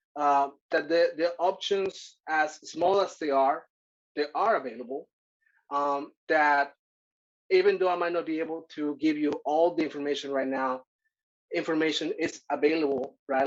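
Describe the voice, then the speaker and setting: Someone speaks at a moderate pace with a Spanish accent. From Mexico (Acapulco, Guerrero). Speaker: workshop presenter. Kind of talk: workshop presentation. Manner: halting, many fillers.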